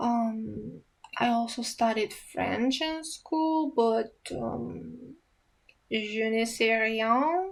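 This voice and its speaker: A woman with an Eastern European accent speaks at a very slow pace, her pitch varying in an ordinary way. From Romania. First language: Romanian. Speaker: ASMR youtuber. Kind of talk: casual Q&A chat. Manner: hesitant, many fillers.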